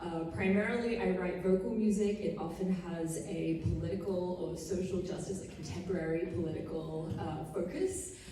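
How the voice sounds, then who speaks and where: A woman speaks at a fairly low pitch and a moderate pace, with fairly even intonation and hardly any pauses. Background noise is noticeable. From Australia. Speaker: composer. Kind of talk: panel discussion.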